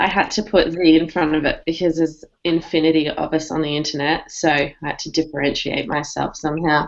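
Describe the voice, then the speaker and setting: A woman with an Australian accent speaks at a moderate pace in a fairly low pitch. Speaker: digital marketing strategist. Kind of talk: casual panel chat. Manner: animated.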